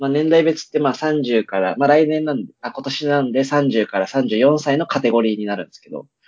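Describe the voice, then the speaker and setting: With hardly any pauses, a man talks in an unremarkable speaking voice at medium pitch, showing ordinary pitch variation and big swings in loudness. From Itabashi, Tokyo. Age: 20s. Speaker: podcast co-host. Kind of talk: casual chat.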